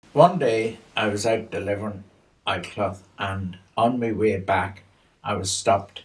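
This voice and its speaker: The delivery is fairly slow and somewhat breathy, with fairly even intonation. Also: man, fairly low pitch for a man. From Northern Ireland, County Armagh; later northern England. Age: 80s+. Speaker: elderly storyteller. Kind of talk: personal testimony. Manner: halting, with many fillers.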